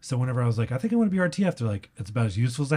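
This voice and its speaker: A dark, mellow, somewhat breathy voice with an American accent on a very clean recording with a silent background. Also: man. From Texas (San Antonio). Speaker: comedian. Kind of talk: casual chat.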